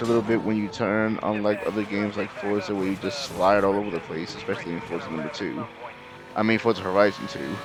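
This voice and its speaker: A man mumbles at a fairly low pitch with ordinary pitch variation, against noticeable background noise. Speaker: gaming youtuber. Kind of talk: gameplay commentary. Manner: halting, many fillers; mumbling.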